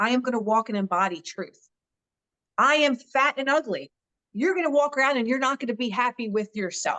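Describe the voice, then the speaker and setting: Lively intonation in a Philadelphia accent, with a bright, sharp tone, a moderate pace and a dry, close sound with no echo. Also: woman. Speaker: social media influencer and author. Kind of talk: interview conversation. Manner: straightforward, direct.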